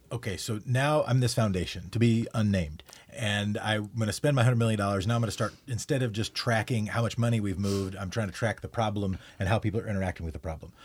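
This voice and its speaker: A man talks at a very fast pace with a fairly low, somewhat breathy voice. His pitch varies in an ordinary way. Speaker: podcast host. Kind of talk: casual interview.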